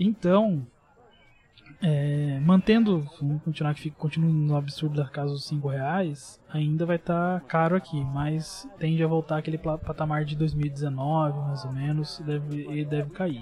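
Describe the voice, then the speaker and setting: A man's normal speaking voice, fairly high in pitch, fairly slow and fairly even in intonation. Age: 20s. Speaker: computer engineering student explaining tech. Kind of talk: casual chat.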